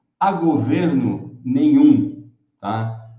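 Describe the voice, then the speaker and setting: The speaker is a man. His voice has audible room echo. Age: 70s. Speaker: electric mobility channel host. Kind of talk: live stream talk. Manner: casual, conversational.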